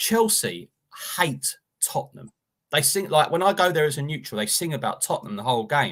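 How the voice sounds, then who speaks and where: A man talks at a fairly quick pace in a fairly high-pitched voice with vocal fry. His pitch swings very widely. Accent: London. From Enfield, North London. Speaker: football pundit. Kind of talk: casual chat. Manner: animated.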